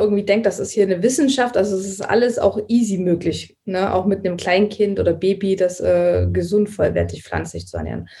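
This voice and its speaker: A somewhat breathy woman's voice at medium pitch, with fairly even intonation and a moderate pace. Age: 30s. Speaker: vegan nutrition consultant. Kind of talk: casual interview. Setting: remote call.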